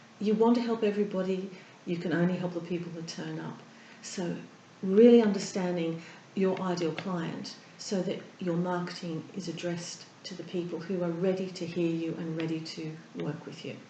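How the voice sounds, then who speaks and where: A woman's fairly low pitch and fairly even intonation at a moderate pace, with big swings in loudness and noticeable background noise. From Australia. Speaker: therapist and breathing coach. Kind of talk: interview answer.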